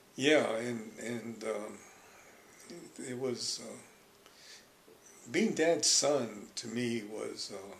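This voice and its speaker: A man with an American accent and a medium pitch speaks very slowly, with ordinary pitch variation, long, frequent pauses, audible room echo and noticeable background noise. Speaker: Japanese American elder interviewed about his life. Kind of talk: life story interview. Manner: halting.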